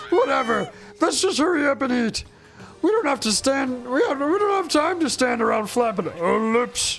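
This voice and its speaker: Someone uses a high-pitched, put-on character voice at a moderate pace. Background noise is clearly audible. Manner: gruff, barking, irritated.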